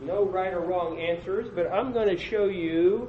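A man speaks loudly at a high pitch and a fairly slow pace. Noticeable background noise is present. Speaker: conference presenter. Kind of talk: conference breakout session talk. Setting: conference room with audience.

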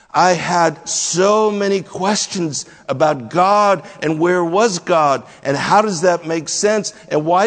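A man speaks at a very slow pace with a high pitch and ordinary pitch variation. Noticeable background noise runs underneath. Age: 60s. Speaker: pastor. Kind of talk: sermon.

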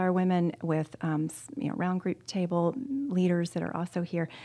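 Against a quiet background, a plain, everyday voice speaks at a moderate pace. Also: woman. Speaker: corporate gender consultant. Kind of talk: casual chat.

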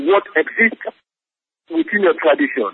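This is a man talking. He speaks with a Sierra Leonean accent. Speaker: peacebuilding program director. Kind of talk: interview. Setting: phone call.

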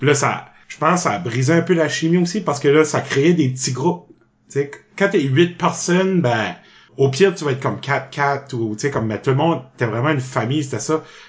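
This man has a normal speaking voice, pitched fairly high, with ordinary pitch variation. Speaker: improv actor. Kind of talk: casual interview.

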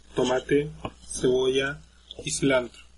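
A man's voice is heard over noticeable background noise. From Chile. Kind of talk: casual chat.

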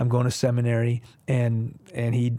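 Over a silent background in a very clean recording, a man talks with a Texas accent. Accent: American (Texas). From Houston area, Texas, US (Iranian family, early childhood in Iran). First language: Farsi. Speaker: pastor. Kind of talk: interview, testimony.

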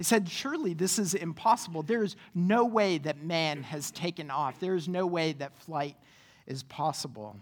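A woman's ordinary speaking voice, fairly low in pitch, with lively intonation at a moderate pace. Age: 30s. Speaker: pastor. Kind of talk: sermon. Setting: church.

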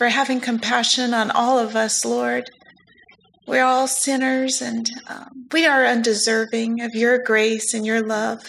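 In a normal speaking voice, a woman with a fairly high pitch talks at a fairly slow pace. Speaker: church ministry leader. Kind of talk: prayer.

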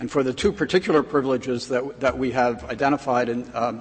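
With an ordinary speaking voice, a man talks at a fairly quick pace and a medium pitch. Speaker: government lawyer arguing before the court. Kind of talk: appellate oral argument.

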